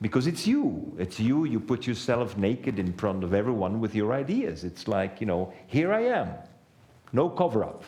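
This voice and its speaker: Moving at a moderate pace, the speech has lively intonation and a dark, mellow tone. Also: man, medium pitch for a man. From Belgium. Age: 60s. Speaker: economist and author. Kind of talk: talk to an audience.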